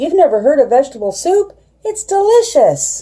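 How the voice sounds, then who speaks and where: A woman's squeaky put-on character voice, extremely high in pitch, at a moderate pace. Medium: read story.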